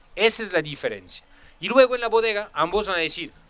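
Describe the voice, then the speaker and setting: With a French accent, a man speaks in a raised, projected voice. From France. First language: French (speaking Spanish). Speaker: sommelier. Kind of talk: casual chat.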